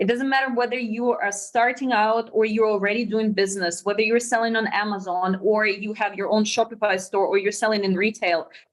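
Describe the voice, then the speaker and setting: With a Russian accent, a woman speaks at a fairly quick pace in a fairly high voice, keeping her intonation fairly even. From Russia, near China border. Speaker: sourcing company co-founder. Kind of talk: webinar presentation.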